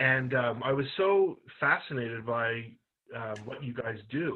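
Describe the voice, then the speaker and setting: A man speaks at a medium pitch with a slight Canadian accent. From Canada. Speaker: podcast interviewer. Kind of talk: interview.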